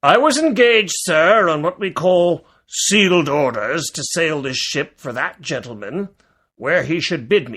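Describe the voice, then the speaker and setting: A man's put-on character voice, high-pitched, with very wide pitch swings and big swings in loudness, on a very clean recording with a silent background. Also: moderate pace. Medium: read story. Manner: blunt, clipped.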